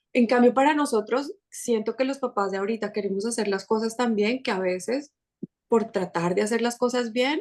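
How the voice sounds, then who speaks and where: A woman speaks with a Colombian accent at a fairly high pitch. Her pitch varies in an ordinary way. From Colombia, Bogotá. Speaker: podcast creator and mother. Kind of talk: casual interview chat.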